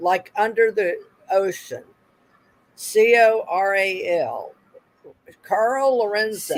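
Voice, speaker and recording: With a Southern US accent, a woman talks at a very slow pace, leaving long, frequent pauses. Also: fairly high pitch for a woman, ordinary pitch variation. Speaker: speaker on women in ufology. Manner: halting, with frequent filler pauses.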